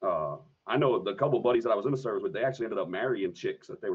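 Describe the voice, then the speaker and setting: A man talks at a very fast pace in a Philadelphia accent. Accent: Philadelphia American English. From Philadelphia area, US. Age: 30s. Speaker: Madden video game streamer, Marine veteran. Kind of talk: casual podcast chat.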